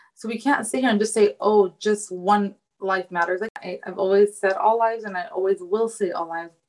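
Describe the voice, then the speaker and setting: Using a normal speaking voice, a woman talks with an American accent. Her pace is moderate and her intonation fairly even. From United States. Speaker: fashion designer. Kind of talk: casual interview.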